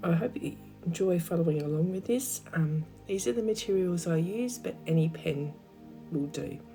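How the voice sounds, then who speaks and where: A croaky woman's voice with fairly low pitch carries lively intonation and a calm, relaxed tone. She speaks at a moderate pace with music in the background. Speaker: art teacher. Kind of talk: craft tutorial narration.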